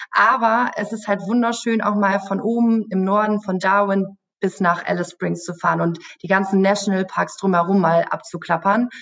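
A woman talks in a normal speaking voice at a medium pitch, with fairly even intonation and a moderate pace. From Germany, Münster area. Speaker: travel YouTuber on a sponsored trip. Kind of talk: podcast interview. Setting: office.

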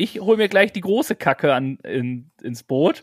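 The sound is dry and close with no echo as a man speaks at a moderate pace, his pitch swinging very widely. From German village. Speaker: podcast co-host. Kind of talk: casual chat.

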